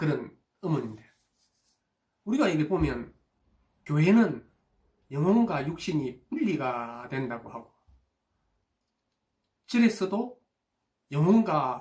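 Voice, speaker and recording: Long, frequent pauses break up the very slow speech. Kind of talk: casual talk to camera about afterlife topics.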